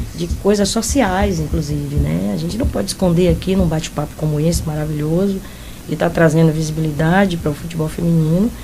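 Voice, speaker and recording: A woman's fairly quick talking carries audible room echo, with noticeable background noise present. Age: 60s. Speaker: football coach. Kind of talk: interview.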